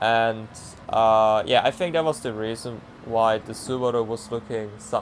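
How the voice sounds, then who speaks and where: At a fairly slow pace, a man with a medium pitch speaks with fairly even intonation. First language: not English. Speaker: sim racing driver. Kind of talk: commentary over own race footage. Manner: halting, many fillers; casual.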